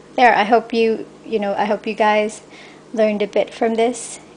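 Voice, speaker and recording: Delivered in a Filipino accent, the speech moves at a fairly slow pace with fairly even intonation. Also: woman. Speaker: cake decorator. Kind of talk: tutorial. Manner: halting.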